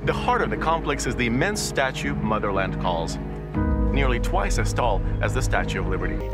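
Loud music plays in the background as a man talks at a fairly quick pace. The sound is dry with no echo. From Russia. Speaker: TV show host. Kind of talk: documentary travel narration. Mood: solemn in memorial segments. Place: open country. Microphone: lapel.

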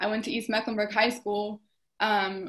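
With an American accent, this woman has an ordinary speaking voice, a fairly high pitch and a moderate pace against a quiet background. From US South. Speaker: dance student; panelist. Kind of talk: panel discussion; panel discussion question. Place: home room. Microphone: video call.

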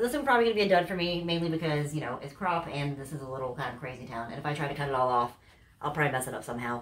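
With lively intonation and a very deep, low pitch, a woman speaks at a very fast pace. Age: 40s. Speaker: YouTuber, clothing haul vlogger. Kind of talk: casual haul video monologue. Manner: animated. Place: home room. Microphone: camera far.

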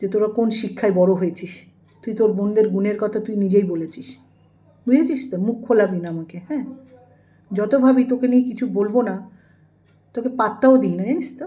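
A woman's fairly high voice with ordinary pitch variation over noticeable background noise. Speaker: YouTube vlogger. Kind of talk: angry rant. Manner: animated.

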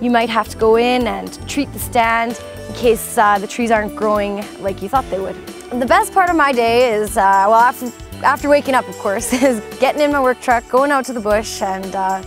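Over clear background music, a woman speaks at a moderate pace in a dry sound with no echo. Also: ordinary pitch variation. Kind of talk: interview answer. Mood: cheerful, smiling. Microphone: lapel.

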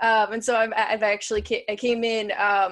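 This woman has an unremarkable speaking voice with an American accent. Her pitch is fairly high and her pace is moderate. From rural Illinois. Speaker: doctoral student and webinar moderator. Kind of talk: live webinar moderation.

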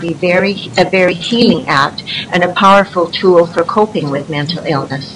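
Noticeable background noise runs under the recording. A woman talks at a moderate pace with ordinary pitch variation. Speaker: writing group facilitator. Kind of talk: prepared presentation. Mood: earnest, calm. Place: office. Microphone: video call.

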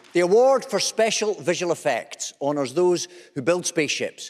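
A man talks at a moderate pace. Behind him the background is quiet. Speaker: awards show host. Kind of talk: comic host patter introducing presenters. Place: stage. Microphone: podium.

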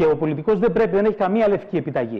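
A man speaks at a high pitch with very wide pitch swings. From northern Greece. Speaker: president of a cultural associations federation; guest. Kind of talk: heated debate; interview answer, political argument. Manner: animated. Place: studio. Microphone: lapel.

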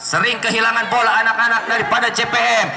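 An excited man talks very fast in a raised, projected voice at an extremely high pitch. Noticeable background noise is present. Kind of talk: live sports commentary. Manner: fast, breathless play-by-play delivery; excited, rising exclamations at near-misses.

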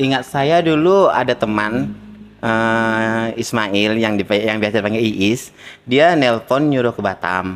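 Here a man talks at a very slow pace. His pitch is medium, with ordinary pitch variation. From North Sumatra, Langkat (Medan area); North Sumatra. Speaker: salon owner, migrant entrepreneur; interview guest. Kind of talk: interview testimony. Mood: cheerful, laughing. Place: shop. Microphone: handheld.

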